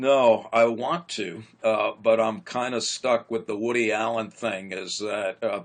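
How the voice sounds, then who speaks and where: Against a quiet background, a man talks in a normal speaking voice at medium pitch with ordinary pitch variation. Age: 60s. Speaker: psychologist. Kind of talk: interview conversation.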